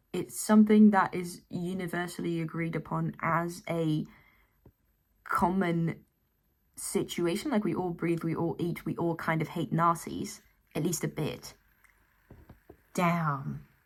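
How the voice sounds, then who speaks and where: At a fairly slow pace, a woman with a fairly low pitch speaks with fairly even intonation and long, frequent pauses. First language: not English. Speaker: commentary YouTuber. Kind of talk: casual commentary to camera.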